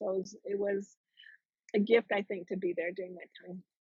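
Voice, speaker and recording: Medium pitch and a somewhat breathy tone from a woman. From Jamaica. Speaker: trauma recovery coach. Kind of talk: interview answer.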